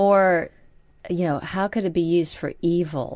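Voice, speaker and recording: A woman with an American accent, fairly low in pitch, over a quiet background. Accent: American accent, slightly anglicized. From United States. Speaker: radio co-host. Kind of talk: late-night talk radio chat. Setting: radio studio.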